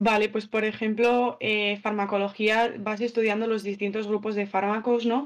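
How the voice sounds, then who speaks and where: Speaking at a fairly slow pace, a woman holds a medium pitch. Her intonation is fairly even. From Andalusia, Spain. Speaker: nursing student. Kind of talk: interview.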